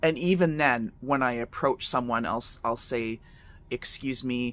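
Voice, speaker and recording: Speaking at a fairly slow pace, a man has a bright, sharp tone in a dry sound with no echo. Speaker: psychic medium vlogger. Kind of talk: casual vlog chat. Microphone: phone near.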